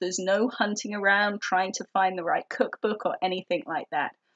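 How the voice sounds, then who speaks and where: Speaking with an English accent, a woman has a medium pitch and a moderate pace. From England. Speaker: organizing tips vlogger. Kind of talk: tutorial. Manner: casual, with fillers.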